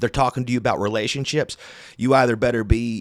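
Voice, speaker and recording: A man speaks at a fairly quick pace and a medium pitch, his tone animated. The recording is very clean, with a silent background. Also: dry, close sound with no echo. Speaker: podcast host. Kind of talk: casual monologue.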